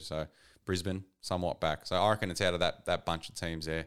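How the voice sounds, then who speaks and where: With an Australian accent, a man speaks fairly quickly in a very deep, low pitch that has ordinary variation. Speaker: football podcast co-host. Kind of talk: casual chat. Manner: subdued.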